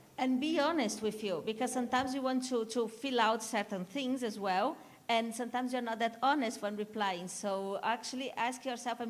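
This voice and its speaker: Over noticeable background noise, a woman with a Spanish accent talks fairly quickly at a fairly high pitch, with ordinary pitch variation. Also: hardly any pauses. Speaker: conference session speaker. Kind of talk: conference Q&A session.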